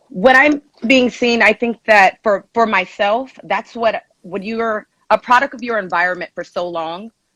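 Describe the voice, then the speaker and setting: A woman's bright, sharp voice with a Southern California accent, ordinary pitch variation, and a dry, close sound with no echo against a quiet background. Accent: Southern California American English. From Los Angeles (Inglewood), California. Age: 30s. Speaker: personal trainer. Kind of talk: live-stream advice call.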